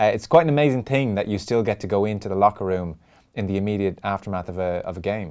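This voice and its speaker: A man's very fast speech with an Irish accent, fairly low in pitch with ordinary pitch variation, on a very clean recording with a silent background. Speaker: radio sports host. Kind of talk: radio interview.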